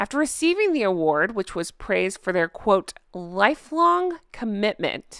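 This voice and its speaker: A woman puts on a raspy character voice at a medium pitch, swinging very widely up and down at a fairly slow pace. The recording is very clean, with a silent background. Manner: disgusted, bitter, contemptuous.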